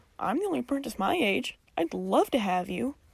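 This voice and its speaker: In a put-on character voice, a woman speaks loudly at a fairly quick pace with fairly high pitch. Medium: read story. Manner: loud, friendly.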